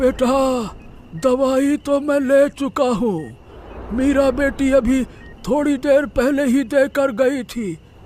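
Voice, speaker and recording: In a high-pitched, put-on character voice, someone talks at a fairly slow pace with long, frequent pauses over clear background noise. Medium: audio drama.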